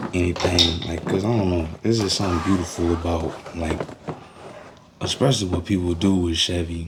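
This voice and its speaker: A man's very deep, low voice at a fairly quick pace, fairly even in intonation, with noticeable background noise and audible room echo. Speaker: amateur mechanic vlogger. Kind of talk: casual talk while repairing a car. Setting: outdoors.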